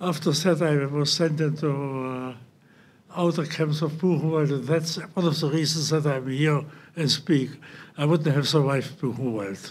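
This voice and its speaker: At a moderate pace and fairly high pitch, a man speaks with audible room echo. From central Germany. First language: German. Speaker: Holocaust survivor. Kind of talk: testimony. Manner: halting.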